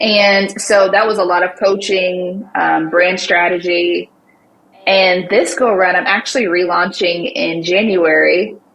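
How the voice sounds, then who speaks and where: A woman with an Alabama accent speaks at medium pitch and a fairly slow pace. Her loudness is very even, with noticeable background noise. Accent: Southern US (Alabama). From US South, Montgomery, Alabama. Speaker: social media marketing agency owner. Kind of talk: interview. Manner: animated.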